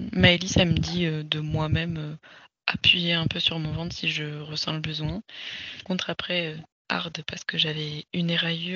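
Her fairly low pitch stays monotone and flat as this woman speaks. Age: 30s. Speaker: sophrologist and mother sharing birth story. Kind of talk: casual interview testimony.

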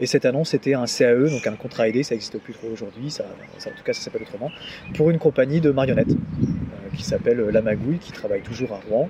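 Amid noticeable background noise, a man at a medium pitch talks very fast, with big swings in loudness. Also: ordinary pitch variation. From Normandy, France (Deauville). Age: 30s. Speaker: arts touring administrator. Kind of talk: interview. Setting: face to face. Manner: halting, many repetitions and fillers.

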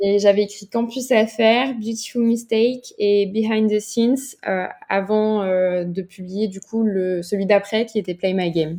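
The voice has a dark, mellow tone and moves at a fairly slow pace with hardly any pauses. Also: woman, medium pitch for a woman. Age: 20s. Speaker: novelist. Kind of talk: casual interview.

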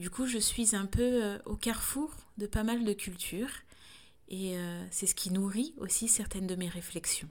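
Her voice is somewhat breathy. The woman speaks at a medium pitch. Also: ordinary pitch variation, fairly slow pace. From France. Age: 30s. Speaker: doula and podcaster. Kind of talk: solo reflective monologue. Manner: halting, frequent hesitations.

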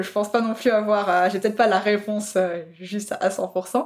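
Fairly even intonation marks the medium-pitched speech of a woman. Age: 20s. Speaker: food photographer. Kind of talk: casual chat. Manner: hesitant, many fillers.

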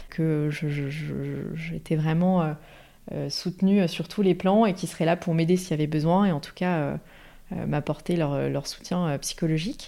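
A woman's very deep, low voice with a dark, mellow tone, fairly even intonation and a fairly slow pace, on a very clean recording with a silent background. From Paris region, France. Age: 30s. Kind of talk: interview testimony. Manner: hesitant, many fillers.

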